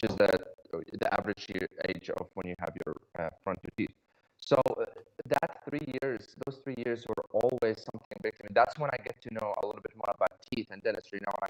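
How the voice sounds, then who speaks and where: A man talks at a fairly quick pace with a slight non-native accent. His loudness swings widely. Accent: slight foreign. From Iraq. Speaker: dentist. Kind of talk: podcast interview. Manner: halting, many fillers.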